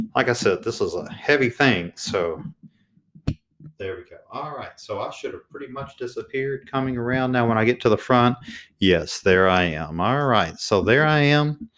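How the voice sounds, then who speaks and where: A soft-spoken man talks at a moderate pace with lively intonation. The recording is very clean, with a silent background. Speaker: teacher testing a microphone. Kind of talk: tutorial. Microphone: testing a new USB condenser mic, switching pickup patterns.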